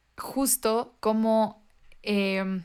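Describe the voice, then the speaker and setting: Her intonation flat and monotone, a woman talks at a medium pitch. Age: 20s. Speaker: podcast co-host. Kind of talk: casual chat. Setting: video call.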